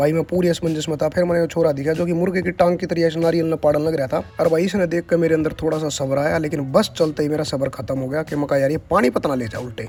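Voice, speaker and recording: The speaker has a Haryana accent and fairly even intonation, with hardly any pauses. Music plays in the background. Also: man, fairly high pitch for a man. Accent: Haryanvi. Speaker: vlogger. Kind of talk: casual comic travel vlog narration. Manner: humorous, chatty.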